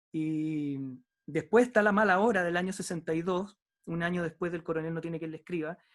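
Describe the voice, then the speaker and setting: A man with a high pitch speaks at a moderate pace. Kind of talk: book discussion conversation.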